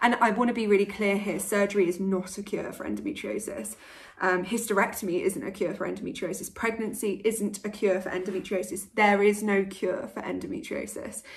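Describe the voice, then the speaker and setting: A woman speaks in a British accent at a medium pitch, somewhat breathy, with ordinary pitch variation. She goes at a fairly quick pace with hardly any pauses. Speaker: vlogger. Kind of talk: vlog.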